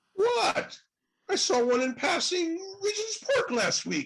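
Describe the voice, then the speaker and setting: A squeaky, put-on character voice at an extremely high pitch, with very wide pitch swings and a fairly slow pace. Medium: stage play. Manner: eager, bumbling.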